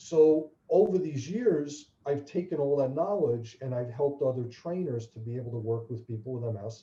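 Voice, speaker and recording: Fairly high for a man yet dark and mellow, his somewhat breathy voice moves at a moderate pace with lively intonation, big swings in loudness and hardly any pauses. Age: 60s. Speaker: fitness trainer and charity founder with multiple sclerosis. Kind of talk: interview.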